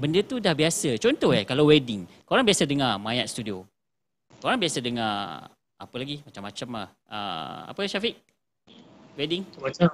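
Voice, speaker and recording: A man speaks at a moderate pace with vocal fry, very wide pitch swings and big swings in loudness. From Malaysia. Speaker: livestream host of a video production channel. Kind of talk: casual livestream chat. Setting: live stream on social media. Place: studio.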